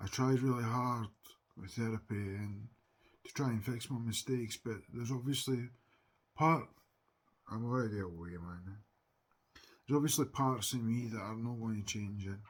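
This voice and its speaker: With a Scottish accent, a man speaks at a moderate pace in a medium pitch with ordinary variation. His loudness swings widely, and he takes long, frequent pauses. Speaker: TikTok live streamer. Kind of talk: casual chat. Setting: livestream.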